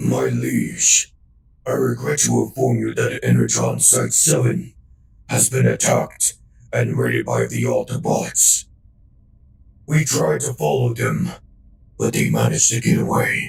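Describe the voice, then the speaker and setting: A man puts on a raspy character voice, moving at a moderate pace with long, frequent pauses. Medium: audio drama. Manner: formal, deferential.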